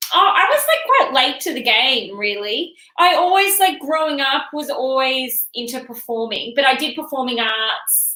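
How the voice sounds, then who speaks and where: A woman with an Australian accent projects a raised, high-pitched voice with lively intonation at a moderate pace. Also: hardly any pauses. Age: 30s. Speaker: comedian. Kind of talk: casual chat. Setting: studio.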